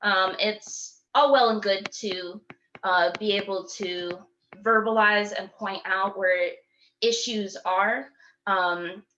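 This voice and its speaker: A woman with a Michigan accent speaks at a medium pitch, her tone bright and sharp and her intonation fairly even. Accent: US Midwest (Michigan). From Michigan, Kalamazoo. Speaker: poet and youth teaching artist. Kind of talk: talk to a community meeting. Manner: halting, many fillers.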